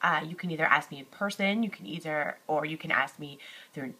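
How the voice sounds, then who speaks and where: A woman's fairly low-pitched voice, bright and sharp in tone, with ordinary pitch variation. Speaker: high school teacher. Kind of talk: recorded lecture. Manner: halting, many fillers.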